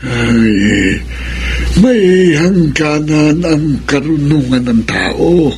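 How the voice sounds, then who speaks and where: In a put-on character voice, a man with a fairly high pitch speaks at a very slow pace against clear background noise. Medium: old radio play. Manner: slow, aged.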